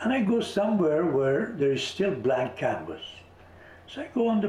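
A man speaks at a moderate pace, his pitch swinging very widely. Noticeable background noise and audible room echo fill the recording. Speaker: visionary artist and author. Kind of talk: interview.

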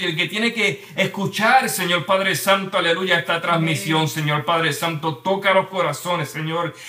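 Noticeable background noise accompanies a high-pitched man who speaks at a moderate pace. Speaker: church show host. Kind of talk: prayer. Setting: livestream. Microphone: too quiet.

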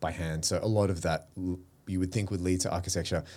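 A man's dark, mellow tone with an Australian accent, fairly quick and fairly even in intonation, in a very clean recording with a silent background. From Australia, Melbourne. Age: 40s. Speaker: creative director and publisher. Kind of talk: casual interview. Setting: studio.

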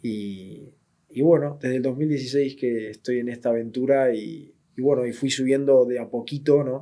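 A dark, mellow tone at a fairly slow pace with fairly even intonation. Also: man, medium pitch for a man. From Argentina, southern Buenos Aires. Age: 20s. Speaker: illustrator and creative director. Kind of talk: interview. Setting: studio.

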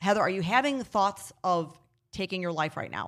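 In a very clean recording with a silent background, a woman talks at a moderate pace and medium pitch in an ordinary speaking voice. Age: 40s. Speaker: founder of a suicide prevention nonprofit. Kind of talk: casual interview. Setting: at her home.

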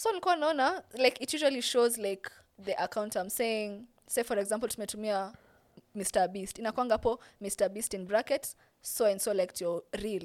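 A woman with a Kenyan accent talks at a fairly quick pace. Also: fairly high pitch for a woman, ordinary pitch variation. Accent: Kenyan English, Sheng code-switching. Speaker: TikTok content creator. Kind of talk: casual interview chat.

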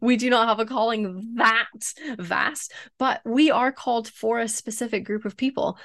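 In a dry, close sound with no echo and a quiet background, an unremarkable speaking voice moves at a moderate pace with fairly even intonation. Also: woman, fairly high pitch for a woman. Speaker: marketing expert guest. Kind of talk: casual interview chat.

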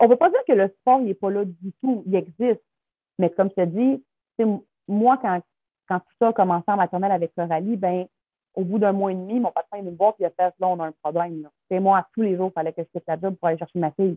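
Music plays in the background as a woman with a Quebec accent speaks at a fairly quick pace, broken by long, frequent pauses. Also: medium pitch for a woman, ordinary pitch variation. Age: 30s. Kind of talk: interview testimony.

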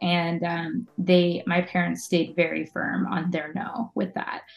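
A woman with a plain, everyday voice speaks at a fairly slow pace with an American accent. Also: big swings in loudness. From western Pennsylvania, Pittsburgh area. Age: 30s. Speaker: community manager and musician. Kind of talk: casual interview chat.

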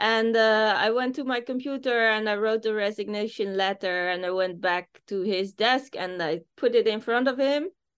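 A woman with a plain, everyday voice speaks at a moderate pace with hardly any pauses, a fairly high pitch, and ordinary pitch variation. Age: 40s. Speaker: business founder. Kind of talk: interview.

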